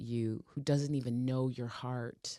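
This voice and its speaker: Speaking very slowly with an American accent, a woman uses a very deep, low pitch, a dark, mellow tone and monotone, flat intonation. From Portland, Oregon, US. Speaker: soul singer. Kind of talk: interview.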